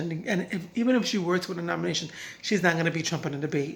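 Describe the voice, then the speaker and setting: Talking at a very fast pace, a woman speaks with a fairly low pitch. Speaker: political commentary vlogger. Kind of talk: casual political commentary. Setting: at home at night. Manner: hesitant, many fillers.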